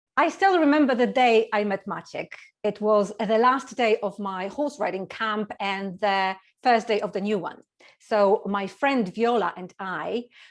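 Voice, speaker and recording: Someone with a Polish accent talks at a fairly slow pace with ordinary pitch variation. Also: woman. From Poland. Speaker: speech contestant. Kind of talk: humorous speech.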